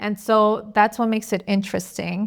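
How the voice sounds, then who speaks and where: On a very clean recording with a silent background, a woman talks in a medium-pitched, flat monotone. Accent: American. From United States, second-generation Mexican American. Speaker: podcast host. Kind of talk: casual conversational podcast.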